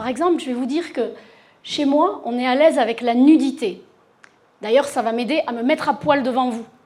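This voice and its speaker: A woman speaks in a high pitch with ordinary pitch variation. Audible room echo surrounds her voice. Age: 50s. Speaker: sexologist. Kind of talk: conference talk. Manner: animated, talks with her hands.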